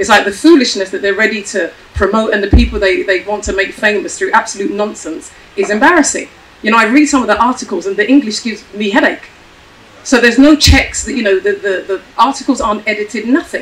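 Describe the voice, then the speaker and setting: Over noticeable background noise, a woman speaks very fast at a fairly high pitch with lively intonation. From Ghana. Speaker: panelist. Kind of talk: panel discussion. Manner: animated.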